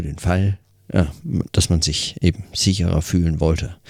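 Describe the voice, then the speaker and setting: A dry, close sound with no echo on a very clean recording with a silent background. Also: man. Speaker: podcaster. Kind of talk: audio diary monologue. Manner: hesitant, many fillers.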